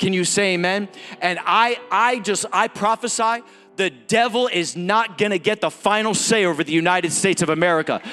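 Pitched high, a man speaks in an animated tone at a moderate pace with ordinary pitch variation. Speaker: guest preacher and actor. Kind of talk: sermon. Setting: church with congregation. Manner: animated, exhortative, rallying the congregation with call-and-response; urgent, fervent, punchy repeated phrases.

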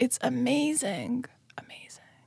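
In a very clean recording with a silent background and a dry, close sound with no echo, a woman speaks with an Eastern European accent. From Moldova. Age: 20s. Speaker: violinist and musician. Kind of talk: casual chat.

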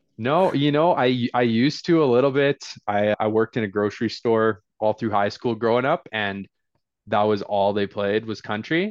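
With a normal speaking voice and a Canadian accent, a man talks at a moderate pace and medium pitch, with ordinary pitch variation. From northern British Columbia, Canada. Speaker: real estate investor. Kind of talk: casual interview.

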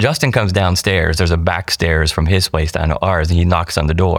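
A man with an American accent and a very deep, low pitch speaks at a fairly quick pace in a very clean recording with a silent background and a dry, close sound with no echo. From East Central Ohio, US. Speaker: church member, hurricane flood survivor. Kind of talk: interview storytelling.

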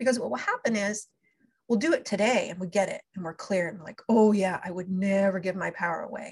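Somewhat breathy and at a medium pitch, a woman speaks at a very fast pace with ordinary pitch variation and big swings in loudness. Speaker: spiritual coach. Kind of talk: guided energy clearing session with talk. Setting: live online call. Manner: fast talker.

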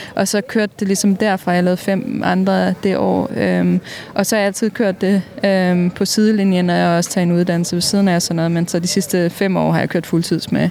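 Over noticeable background noise, a woman with a fairly low pitch speaks fairly quickly in a monotone, flat way at a very even loudness. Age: 30s. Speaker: mural painter. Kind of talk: interview.

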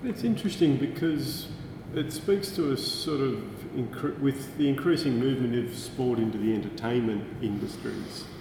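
An Australian accent amid noticeable background noise and audible room echo. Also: man, medium pitch for a man, ordinary pitch variation, moderate pace. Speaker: podcast host. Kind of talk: interview. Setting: university building.

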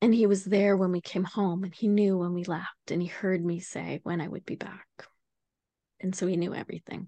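Speaking with a western Canadian accent, a woman has a medium pitch, a dark, mellow tone and monotone, flat intonation at a fairly quick pace, recorded with a dry, close sound with no echo over a quiet background. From Canada, Vancouver Island. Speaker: abuse survivor and advocate. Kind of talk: testimony.

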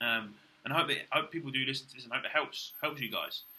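A man's fairly high-pitched voice with a British accent, very wide pitch swings and a fairly quick pace. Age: 20s. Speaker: bodybuilder podcaster. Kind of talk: casual monologue. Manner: animated.

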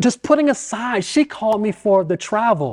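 A man speaks with an American accent and lively intonation at a fairly slow pace. He has an ordinary speaking voice. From US South, Richmond, Virginia. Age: 40s. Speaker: business owner. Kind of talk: casual interview, personal testimony.

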